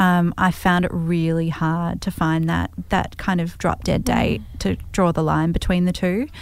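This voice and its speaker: A woman with an Australian accent, fairly low pitch, fairly slow pace, fairly even intonation and hardly any pauses. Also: very clean recording, silent background. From Australia, Melbourne. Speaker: entrepreneur. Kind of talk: interview.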